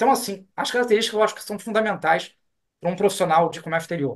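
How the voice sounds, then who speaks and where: Lively intonation marks this speech. The speaker is a man with a high voice. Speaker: customs and foreign trade law professor and consultant. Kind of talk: interview. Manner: fast; animated.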